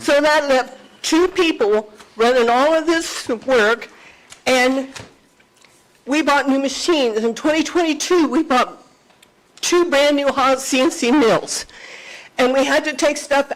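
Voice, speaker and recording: A woman talks in a high voice with ordinary pitch variation and very even loudness. Long, frequent pauses break her speech amid noticeable background noise. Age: 70s. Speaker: business owner speaking at public meeting. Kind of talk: public comment at county meeting.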